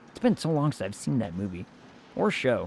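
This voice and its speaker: The man's pitch swings very widely as he talks. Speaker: streamer. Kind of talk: casual, internet slang. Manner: casual, joking.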